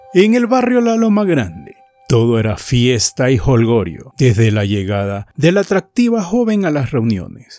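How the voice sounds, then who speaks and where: A man's dark, mellow, dramatic voice at a medium pitch, with very wide pitch swings and a fairly slow pace, on a very clean recording with a silent background. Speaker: podcast storyteller. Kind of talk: scripted ghost story narration, eerie and suspenseful. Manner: slow, hushed, dramatic and ominous.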